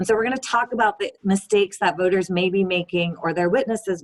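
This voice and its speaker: Moving at a fairly quick pace, a woman uses a plain, everyday voice with a medium pitch and ordinary pitch variation. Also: dry, close sound with no echo. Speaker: voting rights advocate. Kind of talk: webinar presentation. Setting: video call.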